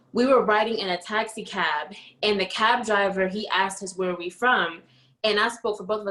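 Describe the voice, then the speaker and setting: Over noticeable background noise, a woman in an American accent talks at a fairly quick pace with a medium pitch and fairly even intonation. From New Jersey, US. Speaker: podcast co-host. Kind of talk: casual chat.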